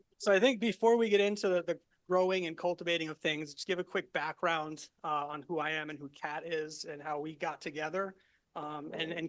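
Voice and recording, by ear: With an American accent, a man talks at a fairly quick pace. His pitch is fairly high, his tone fairly bright and his intonation fairly even.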